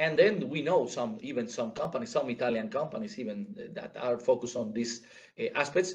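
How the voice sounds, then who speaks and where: A man with a fairly high pitch, a somewhat breathy voice and a fairly quick pace. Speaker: conference speaker. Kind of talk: conference presentation. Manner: halting, many repetitions and fillers.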